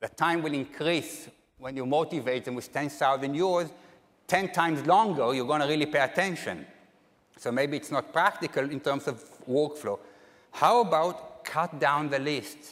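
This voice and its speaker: At a moderate pace, a man talks in an ordinary speaking voice, fairly high in pitch with ordinary pitch variation. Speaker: academic conference speaker. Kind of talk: plenary lecture.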